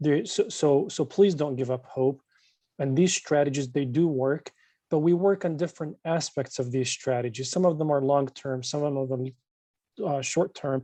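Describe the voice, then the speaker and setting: A man talks at a moderate pace in a dark, mellow tone with a non-native accent. His pitch is fairly high, with ordinary variation. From born overseas. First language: not English. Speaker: state legislator. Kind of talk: closing remarks at online community meeting. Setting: video call.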